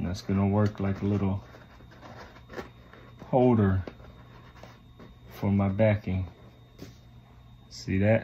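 This man's low voice has a dark, mellow tone and little pitch movement, moving at a slow pace with long, frequent pauses.

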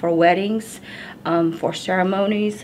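A woman with an American accent speaks in a fairly low, flat monotone over light background noise. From Navajo reservation, Arizona. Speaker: cultural educator. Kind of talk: educational talk to camera. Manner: hesitant, many fillers. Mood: calm, warm, unhurried. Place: home room.

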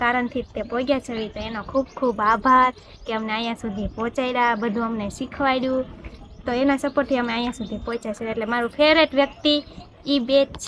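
A woman with a high pitch keeps her intonation fairly even while noticeable background noise plays behind her. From Gujarat, Bhavnagar. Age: 20s. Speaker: vlogger. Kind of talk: Q&A vlog chat.

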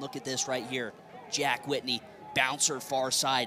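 Noticeable noise in the background behind a man's moderately paced talk. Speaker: color commentator, lacrosse analyst. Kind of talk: color analysis over replays, breaking down plays and praising players. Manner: enthusiastic, effusive, uses player slang like juice goal; long run-on explanations during replays.

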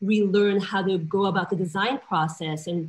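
Somewhat breathy, a woman speaks with ordinary pitch variation. Her pace is moderate. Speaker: panelist. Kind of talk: interview answer. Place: home room. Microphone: video call.

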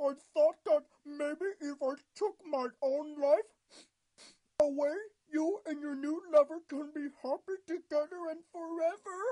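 This is a cartoonish character voice with high pitch. It moves at a fairly slow pace. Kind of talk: comic overacting. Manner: melodramatic, mopey, then snide.

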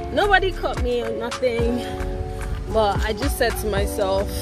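With clear music in the background, a woman speaks at a fairly slow pace in a Nigerian accent. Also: dry sound with no echo. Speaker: stay-at-home mother. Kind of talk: vlog talk to camera. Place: garden. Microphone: phone near.

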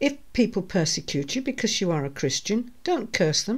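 A woman at a fairly slow pace, her pitch swinging very widely, over a quiet background. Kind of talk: scripture reading. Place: home room. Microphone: studio mic.

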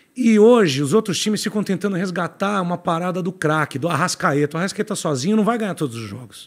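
A man's high-pitched voice carries lively intonation at a moderate pace. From Brazil. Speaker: podcast guest; podcast guest, football commentator. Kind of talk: casual chat. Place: studio. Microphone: studio mic.

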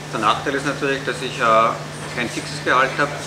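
A man speaks rather quickly while loud noise fills the background. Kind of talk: interview answer. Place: cafe.

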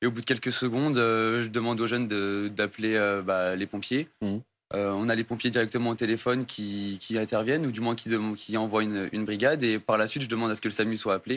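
Delivering his words very fast, a man keeps his intonation fairly even. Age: young. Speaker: sports coach. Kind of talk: TV interview. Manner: hesitant. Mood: serious, slightly nervous. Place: studio. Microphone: lapel.

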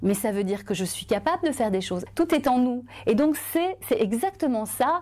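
This woman has a high voice. Her pitch swings very widely. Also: moderate pace. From Belgium. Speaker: journalist and author; journalist. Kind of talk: testimony. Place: studio. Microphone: lapel.

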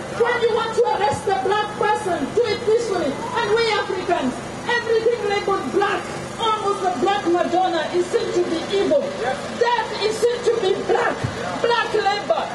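Loud background noise fills the recording. Over it, a man speaks at a moderate pace. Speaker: protest speaker. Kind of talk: protest speech. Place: street. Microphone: handheld.

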